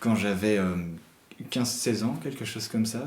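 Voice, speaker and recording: Noticeable background noise sits under a man speaking at a medium pitch with ordinary pitch variation. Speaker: interviewer. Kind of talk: interview question.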